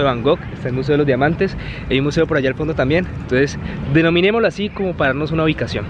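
Talking at a very fast pace, a man uses ordinary pitch variation. The sound is dry with no echo, though background noise is noticeable. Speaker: travel vlogger. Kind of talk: casual vlog chat. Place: open country. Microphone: phone near.

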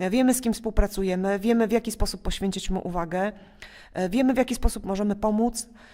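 Intonation is fairly even. The talking goes very fast. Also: woman, fairly high pitch for a woman. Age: 40s. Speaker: school principal. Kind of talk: interview.

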